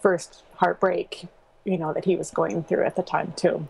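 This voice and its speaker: Fairly even intonation carries this voice with an American accent. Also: woman. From US Pacific Northwest. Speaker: small business owner and graphic designer. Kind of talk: interview about personal loss. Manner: halting, many fillers.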